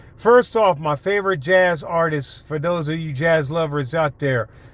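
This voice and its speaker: A man with a slight Baltimore-DC accent, fairly high pitch, ordinary pitch variation and a moderate pace. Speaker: YouTuber, commentator. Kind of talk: casual vlog monologue. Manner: hesitant, many fillers.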